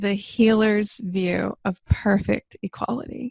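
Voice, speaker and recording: A woman's somewhat breathy voice comes through with a dry, close sound and no echo. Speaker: spiritual discussion co-host. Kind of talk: casual chat. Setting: recorded discussion.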